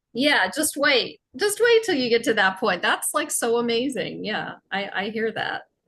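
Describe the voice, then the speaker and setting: A woman's fairly high, bright and sharp voice, fairly slow in pace, with lively intonation. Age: 60s. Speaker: podcast host. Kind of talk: casual chat.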